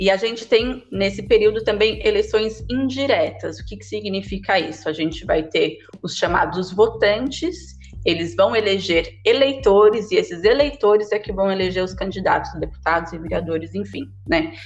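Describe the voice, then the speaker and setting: A woman speaks at a moderate pace with hardly any pauses, over noticeable background noise. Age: 30s. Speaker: historian and geography graduate. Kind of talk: podcast interview.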